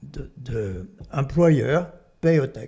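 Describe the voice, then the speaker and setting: A man's fairly high, somewhat breathy voice with a dark, mellow tone, very wide pitch swings and a French accent. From France. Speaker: artist and activist. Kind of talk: casual chat. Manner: animated.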